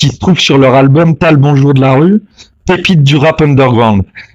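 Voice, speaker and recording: A man speaks at a fairly slow pace with a fairly high pitch, ordinary pitch variation and a plain, everyday voice. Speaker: interviewer. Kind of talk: interview questions.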